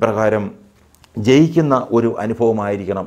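Quiet background behind a male voice with ordinary pitch variation. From Kerala, India. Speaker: pastor. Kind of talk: Bible study teaching. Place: home room. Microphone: lapel.

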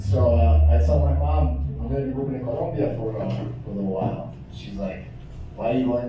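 In a room with strong echo and noticeable background noise, a man with a very deep, low pitch talks at a fairly quick pace, his pitch swinging very widely. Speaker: stand-up comedian. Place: bar.

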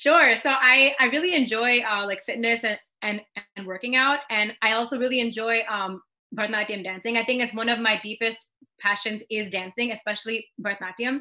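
Against a quiet background, a woman with an American accent talks at a fairly quick pace, with a fairly high pitch and ordinary pitch variation. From USA, Indian American. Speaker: beauty pageant runner-up and dancer. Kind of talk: casual interview chat. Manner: fast, many fillers and repetitions. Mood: friendly and upbeat. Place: home room. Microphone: video call.

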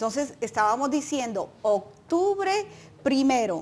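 A woman speaks at a fairly slow pace. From Colombia. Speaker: nonprofit advocacy director; guest. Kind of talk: informational interview. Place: studio. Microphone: lapel.

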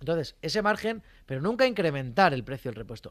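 A man's very fast, animated delivery with lively intonation against a quiet background. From Spain, rural village. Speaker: mechanic and social media creator; social media creator. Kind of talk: casual interview. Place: studio. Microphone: studio mic.

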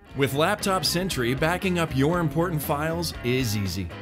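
With clear music in the background, a man talks at a moderate pace, his pitch making very wide swings. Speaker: voice actor. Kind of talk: product explainer narration. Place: studio. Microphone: studio mic.

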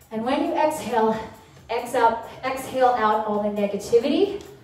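A woman's fairly slow speech carries audible echo from the room. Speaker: fitness instructor. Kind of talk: workout instruction. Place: home room.

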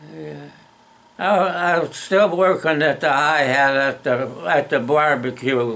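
At a very slow pace, a man talks with a fairly high pitch that varies in an ordinary way. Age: 80s+. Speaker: storyteller. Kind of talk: casual reminiscence. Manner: halting. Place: home room. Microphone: phone near.

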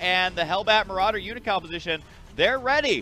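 Music plays in the background as a man speaks in a raised, projected voice, high in pitch for a man. His tone is animated, and his pitch varies in an ordinary way. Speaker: gaming YouTuber. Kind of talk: casual game commentary. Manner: excitable, animated.

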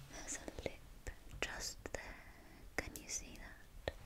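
Soft-spoken and whispering, the voice moves at a very slow pace. Noticeable background noise runs underneath. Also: woman. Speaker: role-play host. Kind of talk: soft-spoken role-play chat. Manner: soft close whisper. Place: home room.

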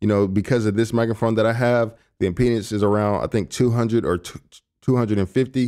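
A man with a fairly low pitch and a dark, mellow tone speaks at a fairly quick pace. The recording is very clean, with a silent background. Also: ordinary pitch variation.

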